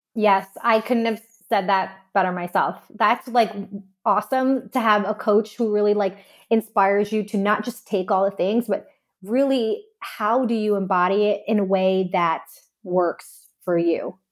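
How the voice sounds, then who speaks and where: Speaking slowly but not too slowly, a woman with a normal speaking voice keeps a medium pitch, fairly even intonation, and very even loudness. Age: 30s. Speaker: dietitian and business owner. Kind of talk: casual chat.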